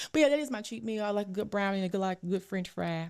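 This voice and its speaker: An animated tone with a Louisiana accent. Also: woman. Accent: Southern US, Louisiana. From North Louisiana, Ruston. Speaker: registered dietitian. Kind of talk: casual chat.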